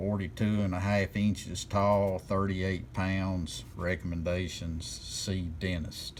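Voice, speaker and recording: Despite a very slow pace, this man, with a very deep, low pitch and ordinary pitch variation, takes hardly any pauses, with audible room echo around him. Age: 60s. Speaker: channel owner sharing personal opinion. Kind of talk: personal video monologue. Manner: casual.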